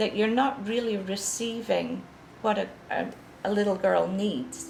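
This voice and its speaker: Very slow speech from a woman with a Scottish accent, plus audible room echo and noticeable background noise. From Scotland, Edinburgh. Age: 60s. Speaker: author. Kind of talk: interview testimony. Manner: halting.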